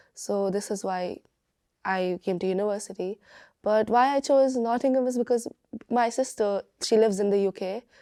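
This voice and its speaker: A woman talks at a fairly high pitch and a moderate pace, with ordinary pitch variation and long, frequent pauses. The recording is very clean with a silent background and a dry, close sound with no echo. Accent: Bengali. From India, Bangalore. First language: Bengali. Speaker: university student. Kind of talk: interview testimony. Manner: halting, many fillers and restarts.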